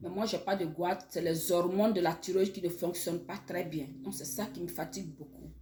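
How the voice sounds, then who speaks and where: A woman with a medium pitch sounds somewhat breathy. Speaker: online educator. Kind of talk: health talk to camera. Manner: halting, many repetitions.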